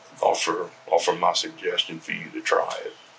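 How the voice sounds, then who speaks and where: Noticeable noise runs in the background. A man talks over it. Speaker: pipe smoking vlogger; army veteran. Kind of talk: casual monologue. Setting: outdoors. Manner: halting.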